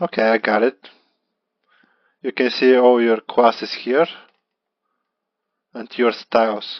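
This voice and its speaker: A man speaks with a Bulgarian accent at a medium pitch. His pace is fairly slow and his intonation fairly even. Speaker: beginner web developer vlogger. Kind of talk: screen-recorded tutorial walkthrough. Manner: halting, with repetitions.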